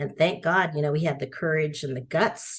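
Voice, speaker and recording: A woman speaks with a Spanish accent at a fairly low pitch. Her pace is fairly quick. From San Francisco and suburban Texas. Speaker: education nonprofit founder. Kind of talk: interview. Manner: conversational.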